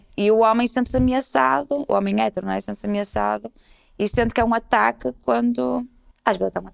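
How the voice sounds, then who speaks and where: A woman talks at a very fast pace in a very deep, low pitch, with very wide pitch swings and big swings in loudness. The sound is dry and close, with no echo. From Portugal, Porto. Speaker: comedian and storyteller. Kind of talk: casual conversation.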